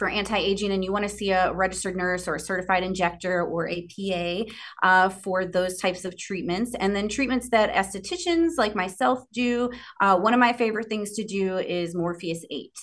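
A woman speaks at a fairly quick pace in a medium pitch, with a quiet background. Hers is an unremarkable speaking voice. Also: ordinary pitch variation. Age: 40s. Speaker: esthetician. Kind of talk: casual interview.

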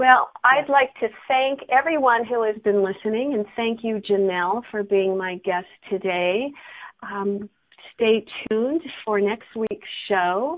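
A woman with a normal speaking voice goes at a fairly slow pace, her fairly high pitch showing ordinary pitch variation. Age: 60s. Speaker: radio host and coach. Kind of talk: casual interview chat. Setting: radio show.

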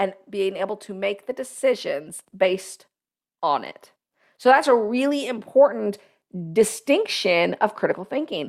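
A woman with a normal speaking voice and fairly high pitch talks at a fairly slow pace. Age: 40s. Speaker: leadership podcast host and business advisor. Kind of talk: solo talk show monologue.

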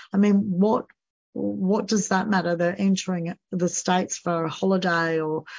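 A woman's fairly low, monotone, flat voice with an Australian accent at a fairly slow pace. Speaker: podcast host and financial coach. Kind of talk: solo podcast monologue. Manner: frequent fillers, um and you know.

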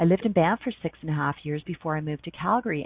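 Speaking with a Canadian accent, a woman uses lively intonation at a fairly low pitch. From Canada, Ontario. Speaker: radio host. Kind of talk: casual chat. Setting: home office. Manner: animated.

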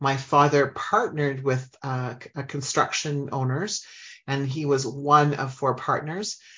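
A woman speaks in a very deep, low pitch at a fairly slow pace. Her tone is warm and enthusiastic. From Saskatchewan, Canada. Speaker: business coach and podcast host. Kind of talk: casual chat, live radio podcast monologue. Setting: studio. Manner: warm, enthusiastic.

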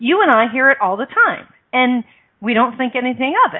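With lively intonation at a moderate pace, a woman talks in an unremarkable speaking voice. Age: 50s. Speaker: radio show host and life coach. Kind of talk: radio interview.

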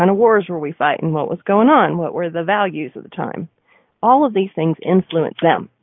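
A woman with a plain, everyday voice speaks at a moderate pace and a fairly low pitch, her intonation lively and her loudness swinging widely. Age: 40s. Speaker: radio host and marketing coach. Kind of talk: live radio talk show. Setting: studio.

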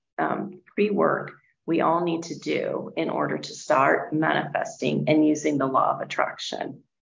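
With audible room echo, a woman in an American accent speaks at a moderate pace. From California, US. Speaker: financial wellness coach. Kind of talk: summit talk, video interview.

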